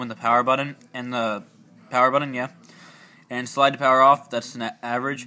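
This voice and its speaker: This man talks at a medium pitch in a bright, sharp tone, his intonation monotone and flat. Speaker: tech video creator. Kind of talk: tutorial. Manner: casual, hesitant with fillers.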